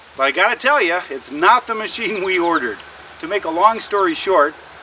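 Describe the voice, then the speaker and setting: A man's raised, projected, high-pitched voice with lively intonation and a Canadian accent, at a fairly quick pace, over noticeable background noise. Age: 60s. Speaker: outdoor lifestyle vlogger. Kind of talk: casual product review vlog.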